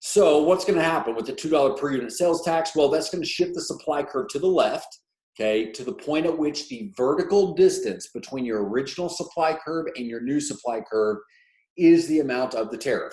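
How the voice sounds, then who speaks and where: Spoken in a plain, everyday voice, the words come at a fairly quick pace with lively intonation. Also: man. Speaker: economics teacher. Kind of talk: tutorial.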